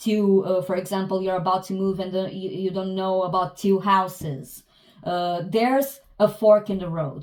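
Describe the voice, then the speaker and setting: At a moderate pace, a woman with a non-native accent speaks in a medium pitch with fairly even intonation. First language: not English. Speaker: tarot reader. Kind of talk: tarot reading. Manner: halting, many hesitations and restarts.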